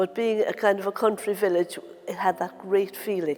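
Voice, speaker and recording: A woman talks with a Cork accent at a moderate pace. Noticeable background noise is present. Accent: Cork Irish. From Ireland, Cork (Douglas). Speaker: local resident. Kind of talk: oral history interview.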